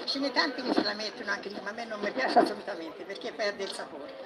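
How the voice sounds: A woman speaks fast at a medium pitch with lively intonation. Clear background noise surrounds her, including clear crowd noise.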